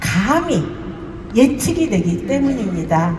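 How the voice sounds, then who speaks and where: Very wide pitch swings from a woman, with noticeable background noise and audible room echo. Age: 60s. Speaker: network marketing business leader. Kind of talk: testimony.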